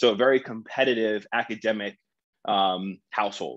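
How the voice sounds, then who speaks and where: A man with an American accent speaks in a normal speaking voice at a medium pitch. His intonation is fairly even, and the background is quiet. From New Jersey, US. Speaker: startup founder and CEO. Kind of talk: interview conversation.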